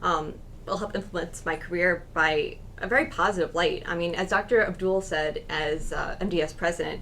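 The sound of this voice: A woman's fairly low voice at a moderate pace, with fairly even intonation.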